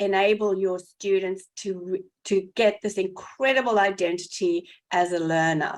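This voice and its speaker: A woman with a South African accent, medium pitch, fairly even intonation and a fairly slow pace. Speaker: educator, podcast co-host. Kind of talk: casual podcast conversation.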